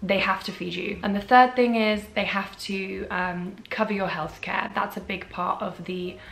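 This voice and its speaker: In a British accent, a woman speaks at a medium pitch and moderate pace with fairly even intonation. Audible room echo and noticeable background noise surround her voice. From England. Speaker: content creator. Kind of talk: casual advice vlog.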